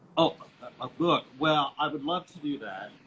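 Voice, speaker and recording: Noticeable background noise sits behind a man speaking at a fairly slow pace. His pitch is fairly high. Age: 60s. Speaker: interior designer and painter. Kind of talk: casual interview chat.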